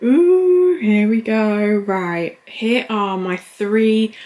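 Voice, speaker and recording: A woman speaks with an English accent over noticeable background noise. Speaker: lifestyle vlogger. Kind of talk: casual vlog. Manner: quiet, subdued.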